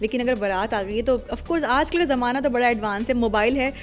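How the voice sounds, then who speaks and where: Music plays behind a woman whose high-pitched voice rises and falls in an ordinary way. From Pakistan. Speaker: voice-over artist and radio jockey. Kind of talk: interview answer.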